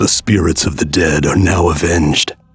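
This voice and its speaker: Over music in the background, a man uses a put-on character voice with a very deep, low pitch. His intonation stays fairly even at a moderate pace. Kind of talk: solemn game hero narration. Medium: video game. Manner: stoic, grave.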